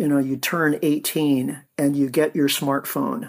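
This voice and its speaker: A normal speaking voice with a General American accent, fairly slow delivery, ordinary pitch variation and a very clean recording over a silent background. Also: man. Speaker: author and energy researcher. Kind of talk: interview.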